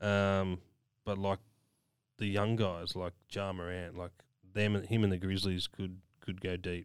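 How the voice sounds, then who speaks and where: Over a silent background in a very clean recording, a man with a very deep, low pitch and an Australian accent speaks in a monotone, flat way, with long, frequent pauses. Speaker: podcast co-host. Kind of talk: casual chat.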